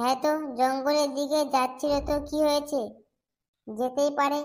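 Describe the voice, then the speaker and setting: In a cartoonish character voice, a woman speaks at a moderate pace with a high pitch and a monotone, flat intonation. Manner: crude, jokey.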